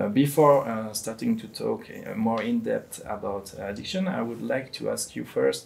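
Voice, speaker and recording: Speaking with a French accent, the man keeps a moderate pace. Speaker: addiction policy professional, moderator. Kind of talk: panel discussion. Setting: recorded video discussion. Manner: hesitant, many fillers; carefully articulated.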